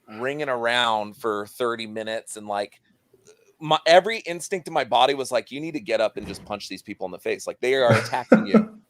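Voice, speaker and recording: Lively intonation at a fairly quick pace, big swings in loudness, a dry, close sound with no echo, and music in the background. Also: man, medium pitch for a man. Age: 30s. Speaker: podcast host. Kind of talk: casual chat.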